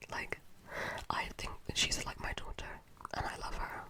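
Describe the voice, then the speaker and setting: Someone whispers at a moderate pace with long, frequent pauses amid noticeable background noise. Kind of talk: ASMR whisper talk about a game, casual chat to camera. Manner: whispered, soft-spoken.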